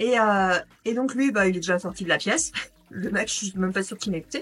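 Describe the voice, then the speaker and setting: A woman talks at a fairly quick pace with a medium pitch and ordinary pitch variation. Her loudness swings in a big way. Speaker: primary school teacher and vlogger. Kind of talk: casual vlog monologue. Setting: at home. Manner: fast; animated.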